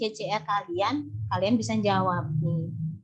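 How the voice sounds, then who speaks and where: A woman speaks very slowly with a Javanese accent. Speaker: university lecturer. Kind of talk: online lecture. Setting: video call.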